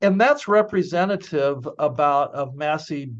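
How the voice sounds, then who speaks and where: A man with an American accent speaks at a fairly high pitch, with ordinary pitch variation, against a quiet background. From California. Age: 60s. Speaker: business school professor. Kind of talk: webinar presentation.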